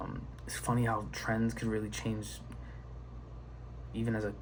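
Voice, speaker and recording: A soft-spoken man with a fairly low pitch, vocal fry and very wide pitch swings at a moderate pace, audible room echo around him. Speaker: video creator. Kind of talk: casual monologue. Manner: halting.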